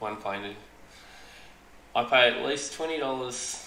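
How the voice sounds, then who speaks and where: Over noticeable background noise and audible room echo, a man with an Australian accent speaks with ordinary pitch variation. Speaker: aquarium hobbyist streamer. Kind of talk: live stream chat. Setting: live stream. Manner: halting, stuttering. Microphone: echo in headset.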